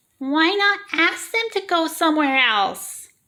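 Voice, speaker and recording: This put-on character voice is squeaky, with an extremely high pitch. It moves at a fairly slow pace. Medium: read story. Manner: bright, calm.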